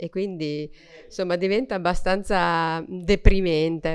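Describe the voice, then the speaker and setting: An ordinary speaking voice from a woman, fairly low in pitch, with fairly even intonation against a quiet background. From Emilia-Romagna, Reggio Emilia; Emilia-Romagna. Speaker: member of parliament. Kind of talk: panel speech. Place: hall. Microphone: podium.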